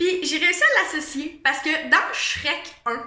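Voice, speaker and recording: In a raised, projected voice with a Quebec accent, a woman speaks at an extremely high pitch amid audible room echo. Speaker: vlogger. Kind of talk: casual monologue vlog. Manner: casual, hesitant with fillers.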